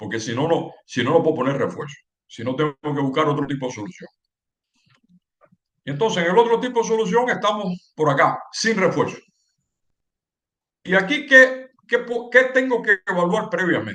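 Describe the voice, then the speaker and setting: A man's high, bright and sharp voice with very wide pitch swings, a moderate pace and long, frequent pauses. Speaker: civil engineering lecturer. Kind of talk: lecture. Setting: webinar. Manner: halting with repetitions.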